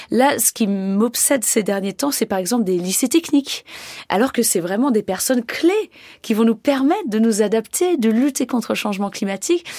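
In a very clean recording with a silent background, a woman with a normal speaking voice and a fairly high pitch talks at a moderate pace with lively intonation. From French Alps, near Annecy. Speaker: glaciologist. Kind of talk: radio interview.

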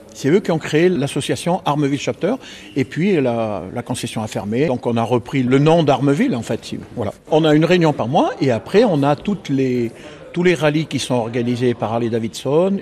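Over noticeable background noise, a man talks at a moderate pace with lively intonation and a fairly high pitch. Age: 70s. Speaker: biker club member. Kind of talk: casual interview.

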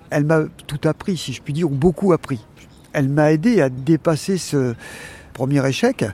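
A man with lively intonation at a moderate pace. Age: 60s. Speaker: retired psychiatric nurse. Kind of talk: personal testimony. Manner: halting.

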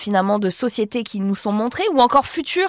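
With a plain, everyday voice, a woman speaks with ordinary pitch variation in a dry, close sound with no echo. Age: 50s. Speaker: podcast host. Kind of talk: studio discussion.

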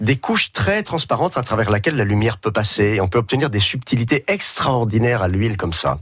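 The speaker is a man with a medium-pitched voice. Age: 50s. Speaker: painter. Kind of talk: radio interview.

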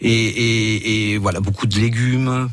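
A man talks in a flat monotone against noticeable background noise. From southern France (Roussillon). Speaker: restaurant owner, chef. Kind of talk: radio interview.

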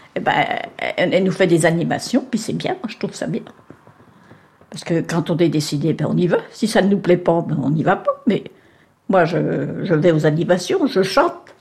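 Noticeable background noise runs beneath speech broken by long, frequent pauses. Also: woman, fairly low pitch for a woman, ordinary pitch variation, moderate pace. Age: 80s+. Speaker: nursing home resident. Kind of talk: casual interview. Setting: nursing home.

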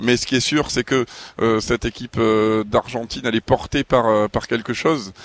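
In a dry, close sound with no echo, a man uses a normal speaking voice at medium pitch with fairly even intonation. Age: 40s. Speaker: sports journalist. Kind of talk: casual chat.

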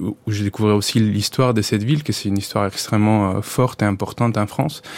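This man talks with a fairly low voice, keeping a moderate pace and fairly even intonation. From Colombia. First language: Spanish (speaking French). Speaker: photographer and anthropologist. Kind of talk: interview. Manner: halting, many hesitations.

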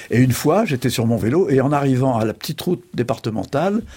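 A man talks at a very fast pace with lively intonation and a dark, mellow tone that is somewhat breathy. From France, Charente. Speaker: journalist and essayist. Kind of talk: interview.

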